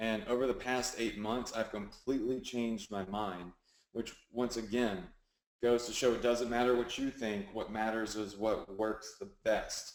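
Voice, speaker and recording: A man's medium-pitched voice, fairly slow and fairly even in intonation. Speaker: online marketing coach. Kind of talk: webinar tutorial. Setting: live webinar with screen share. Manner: casual, filler-heavy.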